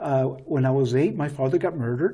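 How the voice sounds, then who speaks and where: A man with a fairly high pitch talks at a fairly quick pace in a dark, mellow, somewhat breathy tone. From southern New Mexico. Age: 60s. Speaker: retired navy officer. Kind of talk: interview. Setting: studio.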